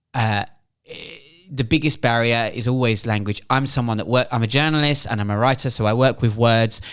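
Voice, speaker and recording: A man with a British accent speaks at a moderate pace in a medium pitch, his intonation fairly even, on a very clean recording with a silent background. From England. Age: 40s. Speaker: journalist and writer. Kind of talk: podcast interview.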